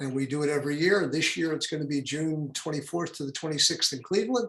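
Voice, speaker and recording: Talking very quickly, a man shows ordinary variation in pitch. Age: 70s. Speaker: health organization president. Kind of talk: interview.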